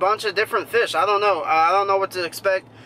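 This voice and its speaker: A man's raised, projected voice with a dry sound with no echo, over light background noise. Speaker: fishing vlogger. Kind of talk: casual vlog chat. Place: car. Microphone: phone near.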